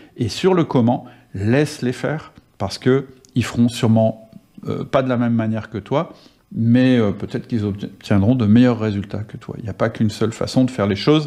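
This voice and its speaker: A man talks at a moderate pace in a medium pitch with ordinary variation. His tone is dark and mellow. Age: 50s. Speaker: podcast host and management coach. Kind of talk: solo podcast monologue.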